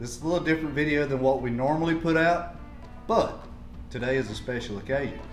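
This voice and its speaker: Music in the background behind a man talking at a very fast pace. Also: fairly high pitch for a man, ordinary pitch variation. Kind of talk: casual cooking talk to camera.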